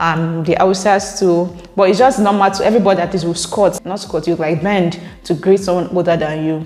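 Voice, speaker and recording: With a Nigerian accent, a woman speaks at a fairly quick pace with hardly any pauses and fairly even intonation. Noticeable background noise is present. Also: medium pitch for a woman. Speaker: YouTuber. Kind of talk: reading and reacting to viewer comments. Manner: casual, conversational.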